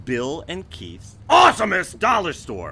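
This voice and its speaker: A man's put-on character voice, high in pitch, at a fairly slow pace. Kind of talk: exaggerated announcer delivery. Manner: loud, bombastic, drawn-out.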